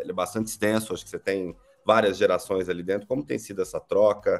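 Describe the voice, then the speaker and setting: A man speaks with music in the background. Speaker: podcast host, company CEO. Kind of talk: interview podcast. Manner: hesitant, repeats words.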